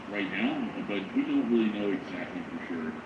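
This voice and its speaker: A man talks at a fairly quick pace amid audible room echo and noticeable background noise. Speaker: live news streamer. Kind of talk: live news commentary. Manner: fast, nonstop talking.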